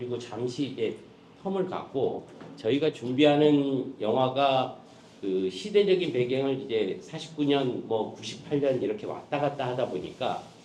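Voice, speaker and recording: Lively intonation and a fairly high pitch mark this man's voice at a fairly slow pace. Audible room echo and noticeable background noise come through. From Jeju, South Korea. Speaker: film producer. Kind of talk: press conference briefing.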